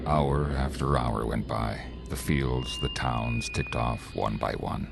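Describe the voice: A man's put-on character voice, extremely low-pitched with vocal fry, slow and fairly even in intonation, over clear background music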